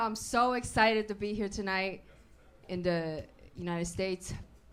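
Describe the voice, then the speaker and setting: There is audible room echo around the voice. A woman speaks at a moderate pace. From China. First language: Chinese. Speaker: stand-up comedian. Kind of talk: stand-up. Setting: stage with audience.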